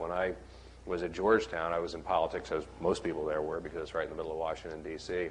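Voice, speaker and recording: A man with an American accent speaks in a very deep, low voice at a very fast pace. Noticeable background noise runs underneath. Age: young. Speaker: political staffer. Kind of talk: panel talk.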